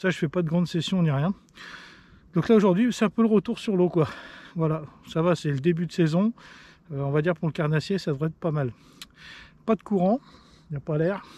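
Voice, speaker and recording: A man talks at a fairly quick pace with a dark, mellow tone and ordinary pitch variation. Long, frequent pauses break up his speech, and the sound is dry with no echo. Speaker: fishing youtuber. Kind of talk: fishing vlog commentary. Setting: outdoors. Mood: slightly annoyed at the end. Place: boat.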